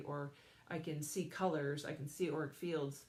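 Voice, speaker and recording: A woman's very deep, low voice comes through over noticeable background noise. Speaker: psychic medium and energy healer. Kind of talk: live stream talk to viewers. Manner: fast.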